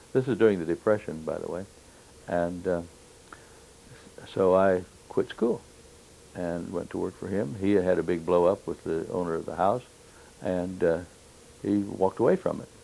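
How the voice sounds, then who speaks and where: Delivered at a moderate pace with long, frequent pauses, the speech has a Midwestern US accent, a dark, mellow tone and fairly even intonation. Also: man, very deep, low pitch for a man. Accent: US Midwest. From Kansas (Wichita). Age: 70s. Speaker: war veteran. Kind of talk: oral history interview. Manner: halting, many fillers.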